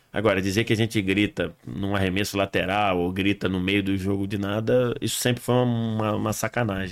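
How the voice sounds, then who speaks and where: Using a normal speaking voice, a man speaks with a fairly low pitch, fairly even intonation and a moderate pace. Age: 40s. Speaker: football commentator. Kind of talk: casual chat.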